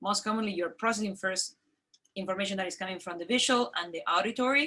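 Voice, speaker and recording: Using lively intonation and a bright, sharp tone, a woman with a non-native accent speaks very fast at a medium pitch. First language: not English. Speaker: medical expert answering parent questions. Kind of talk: question and answer discussion.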